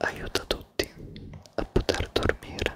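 Over loud background noise, a man whispers at a very slow pace in a dry sound with no echo. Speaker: ASMR creator. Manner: close-mic intimate Italian whisper. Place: home room. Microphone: studio mic.

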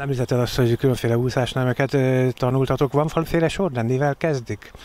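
The recording is dry with no echo as a man talks at a very fast pace. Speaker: local TV reporter. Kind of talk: interview.

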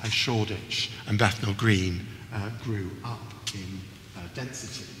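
A man speaks at a fairly slow pace in a fairly low, monotone voice with flat intonation, over light background noise. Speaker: professor. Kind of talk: lecture. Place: hall.

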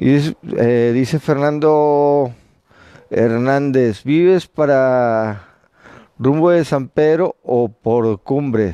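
Against a quiet background, a man speaks at a very slow pace and medium pitch in a dark, mellow tone, with ordinary pitch variation and very even loudness. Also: dry sound with no echo. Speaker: UFO watcher livestreamer; UFO-watch livestreamer. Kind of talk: live stream chat. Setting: rooftop terrace at night. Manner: halting. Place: open country. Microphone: phone mic; earbuds.

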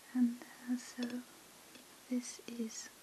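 A soft-spoken woman with a gentle tone and a very slow pace, light background noise behind her. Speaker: ASMR creator. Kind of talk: asmr whisper. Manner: soft-spoken, slow and gentle; hushed and relaxing, with hesitant pauses. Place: home room.

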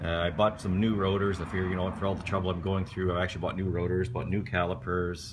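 Intonation is fairly even, and the voice is somewhat breathy. Background noise is noticeable. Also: man. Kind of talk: tutorial. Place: home room. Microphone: phone near.

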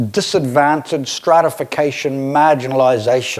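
At a moderate pace, a man is talking. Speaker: keynote speaker. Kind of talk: conference presentation. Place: hall. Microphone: lapel.

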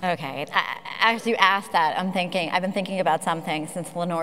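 Fairly quick, fairly low female speech with ordinary pitch variation. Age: 50s. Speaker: philanthropic advisor; speaker. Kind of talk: panel discussion. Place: stage. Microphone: lapel.

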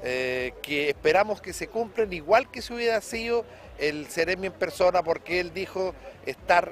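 A man's high-pitched voice, dry with no echo, over light background noise. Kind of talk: interview answer. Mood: measured, mildly critical. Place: street. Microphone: handheld.

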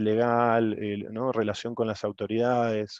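A man with an Argentine accent speaks at a medium pitch and a moderate pace. The sound is dry with no echo, and the background is quiet. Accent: Rioplatense Argentine Spanish. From Argentina, Buenos Aires. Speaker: oil industry logistics engineer; presenter. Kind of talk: workshop presentation. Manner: halting, many repetitions. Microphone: video call.

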